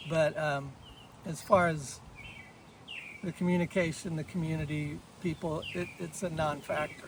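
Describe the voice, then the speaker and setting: With an American accent, a man with a fairly high pitch speaks in a monotone, flat intonation with long, frequent pauses, over noticeable background noise. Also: moderate pace. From Kansas, US Midwest. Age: 60s. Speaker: long-distance hiker. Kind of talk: casual interview.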